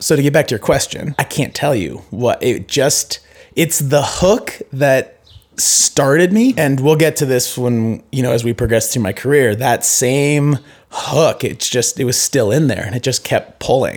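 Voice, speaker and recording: A man speaks fairly slowly with an American accent in a normal speaking voice. His pitch is fairly high, with ordinary pitch variation. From US Pacific Northwest (Seattle, then Idaho and Bend, Oregon). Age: 30s. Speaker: retired pro cross-country skier. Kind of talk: casual interview. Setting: in person, recorded.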